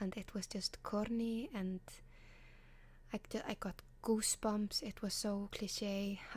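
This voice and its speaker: A somewhat breathy woman with a fairly high pitch and an Icelandic accent, with fairly even intonation and a very slow pace. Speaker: ASMR creator. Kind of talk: advice column, casual talk to camera.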